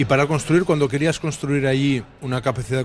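Speaking with a medium pitch, a man keeps a moderate pace. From western Catalonia. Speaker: basketball coach. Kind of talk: radio talk show interview. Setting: live broadcast from a bar.

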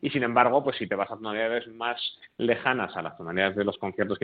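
Very fast delivery from a man, medium in pitch, with ordinary pitch variation. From Spain, Bilbao. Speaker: cellist and early music ensemble director. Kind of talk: radio interview. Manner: halting, with frequent repetitions.

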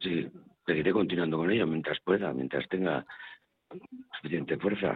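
Very deep and low, this man's voice moves at a moderate pace with ordinary pitch variation. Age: 60s. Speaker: former soup kitchen user, now volunteer. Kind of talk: testimony. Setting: on location at a soup kitchen.

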